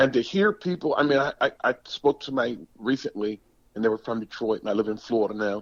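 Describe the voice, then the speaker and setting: This man speaks at a moderate pace in a medium pitch. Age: 60s. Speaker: former pro football player. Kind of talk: podcast interview. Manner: repeats words, halting.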